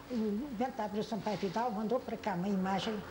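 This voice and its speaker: Fairly high-pitched female speech with fairly even intonation over noticeable background noise. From Portugal, Algarve (Loulé area). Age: 80s+. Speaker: elderly eyewitness interviewee, oral history. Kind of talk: oral history interview. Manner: halting, with repetitions.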